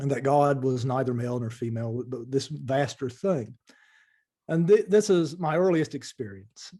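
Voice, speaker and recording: Speaking at a moderate pace, a man with an Appalachian accent has a medium pitch, a dark, mellow tone and lively intonation. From eastern Kentucky, Appalachia. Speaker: spiritual teacher, former lawyer. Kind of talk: interview answers.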